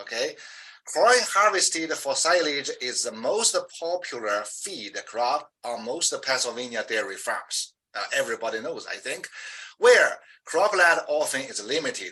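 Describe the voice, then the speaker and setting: A man with a strong Chinese accent at a fairly slow pace. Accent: heavy Chinese. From China. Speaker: professor. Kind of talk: interview. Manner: halting, with many fillers.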